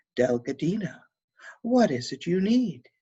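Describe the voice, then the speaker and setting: This put-on character voice sits at a middle pitch and is resonant with a gentle tone. It moves at a moderate pace, with very wide pitch swings. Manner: kind, gentle.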